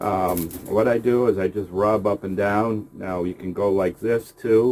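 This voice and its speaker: Delivered very slowly, the voice keeps a fairly even intonation. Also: man. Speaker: rabbit breeder. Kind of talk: casual tutorial vlog. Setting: outdoors by rabbit cages. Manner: soft-spoken; louder than usual.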